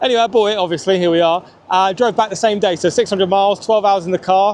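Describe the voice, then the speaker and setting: A man with an English accent talks at a very fast pace in a high pitch. His loudness is very even and his intonation fairly even. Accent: English regional accent, noticeable. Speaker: car YouTuber. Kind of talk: casual vlog review. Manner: casual, conversational.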